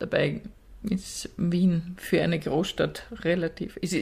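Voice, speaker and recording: A woman speaks at a medium pitch with a somewhat breathy quality. Her intonation stays fairly even. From rural Austria. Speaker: podcast co-host. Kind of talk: casual chat.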